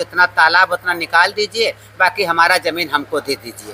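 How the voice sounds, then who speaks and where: This man has a high-pitched voice. The recording is dry and close, with no echo. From Ekauna, Shravasti, eastern Uttar Pradesh. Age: 70s. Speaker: resident facing demolition notice. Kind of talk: street interview complaint.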